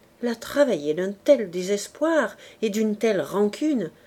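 The intonation is lively as the speaker is reading aloud in a natural voice.

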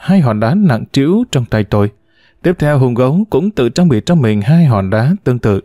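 Lively intonation in a plain read-aloud delivery.

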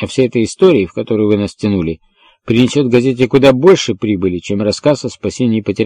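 Ordinary pitch variation in plain reading aloud, set against a quiet background

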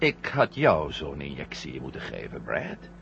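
In a put-on character voice, a man speaks at an extremely low pitch with vocal fry and very wide pitch swings. His tone is fairly bright, and his pace is fairly slow.

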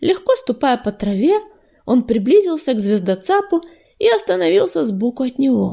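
Natural-voiced reading aloud

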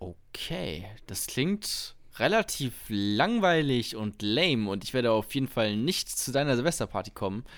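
Very wide pitch swings at a fairly slow pace, on a very clean recording with a silent background. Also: man, medium pitch for a man. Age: 20s. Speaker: podcast co-host, student, amateur comedian. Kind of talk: casual chat.

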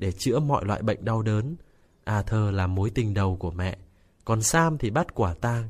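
The natural reading voice has lively intonation.

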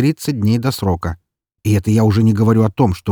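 Against quiet surroundings, someone reads in a natural voice.

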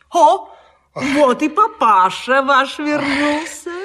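A woman puts on a character voice, high-pitched and fairly bright in tone, with lively intonation at a slow pace.

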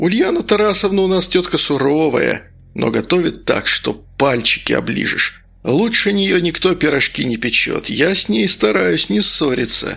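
A man's put-on character voice, fairly high-pitched, bright and sharp, with big pitch swings, vocal fry and a moderate pace.

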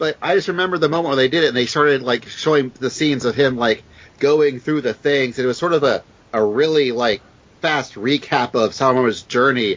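A man speaks at medium pitch with an American accent and ordinary pitch variation. His is an ordinary speaking voice at a fairly quick pace. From US South. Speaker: guest co-host filling in. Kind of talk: casual chat.

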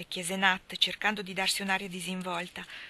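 The words come across through reading aloud in a natural voice.

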